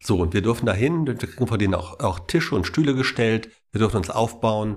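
A normal speaking voice from a man with a fairly low pitch, on a very clean recording with a silent background. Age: 60s. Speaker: charity volunteer coordinator. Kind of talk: interview.

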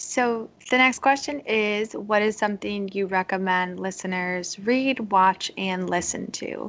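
A woman with an American accent speaks at medium pitch and a fairly slow pace, with ordinary pitch variation, hardly any pauses and a plain, everyday voice. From US Northeast, Connecticut. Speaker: podcast host. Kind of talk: interview conversation.

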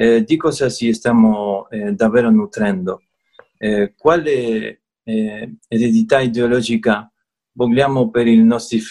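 Someone with a Spanish accent talks at a very slow pace in a dark, mellow tone. Long pauses come often. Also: man. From Argentina. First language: Spanish (speaking Italian). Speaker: merchant. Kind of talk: online interview. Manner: halting, hesitant.

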